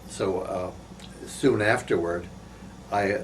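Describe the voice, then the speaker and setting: With an American accent, a man speaks at a fairly low pitch and a fairly slow pace. Room echo is audible. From northeast Pennsylvania. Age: 80s+. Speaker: war veteran. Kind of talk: oral history interview. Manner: halting, many fillers.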